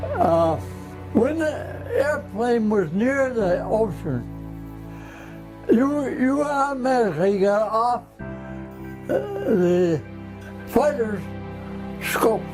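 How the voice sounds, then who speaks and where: With an American accent, a man speaks at a very slow pace with long, frequent pauses while music plays in the background. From Massachusetts. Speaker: war veteran. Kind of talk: interview answer. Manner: emotional.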